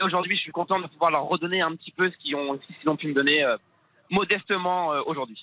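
The speech comes very fast, with big swings in loudness and ordinary pitch variation. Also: man, high pitch for a man. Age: 20s. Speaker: football referee. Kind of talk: interview.

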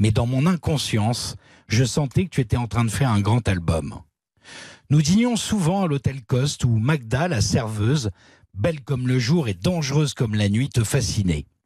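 A man's somewhat breathy voice has lively intonation and very even loudness over a quiet background. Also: medium pitch for a man, moderate pace. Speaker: radio columnist. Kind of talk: reading aloud. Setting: studio.

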